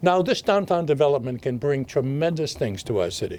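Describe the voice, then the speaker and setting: A man's fairly high-pitched voice, dark and mellow in tone, with very wide pitch swings. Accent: Boston. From Massachusetts, Haverhill. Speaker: mayor. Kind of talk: video address.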